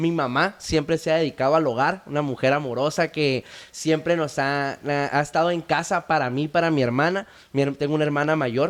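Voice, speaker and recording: A man speaks at a moderate pace with very even loudness and a fairly high pitch. It is a plain, everyday voice. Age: 20s. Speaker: founder of addiction recovery initiative. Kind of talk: testimony.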